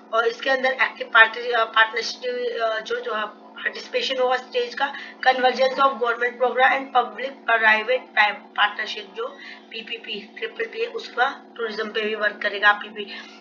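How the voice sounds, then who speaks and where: Over music in the background, a woman speaks in a fairly high pitch with monotone, flat intonation. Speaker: exam prep tutor. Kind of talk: educational lecture, Hindi-English mix.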